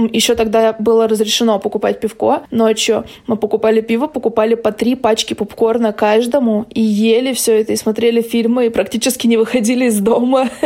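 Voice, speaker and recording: A woman's fairly high, dark and mellow voice at a fairly quick pace, with monotone, flat intonation and very even loudness. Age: 20s. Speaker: podcast co-host. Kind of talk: casual chat.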